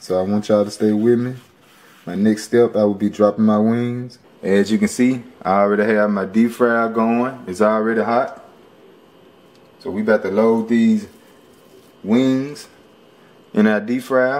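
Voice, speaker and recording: Using monotone, flat intonation, a man with an American accent speaks with long, frequent pauses. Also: moderate pace. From Memphis, Tennessee. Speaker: home cook, cooking show host. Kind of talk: casual cooking tutorial to camera. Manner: casual, friendly. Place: kitchen. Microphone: phone near.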